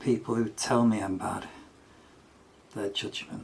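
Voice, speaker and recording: With noticeable background noise behind him, a man talks at a moderate pace in a fairly low voice. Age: 70s. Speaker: solo vlogger and amateur musician. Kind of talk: casual monologue. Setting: in the bath at home.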